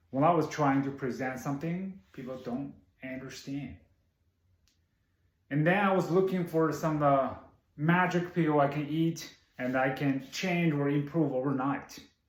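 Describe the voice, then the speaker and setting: Speaking with a non-native accent, a man has a fairly high pitch and ordinary pitch variation. His pace is fairly slow, with long, frequent pauses, and audible room echo can be heard. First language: not English. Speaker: public speaking club member. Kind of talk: prepared speech.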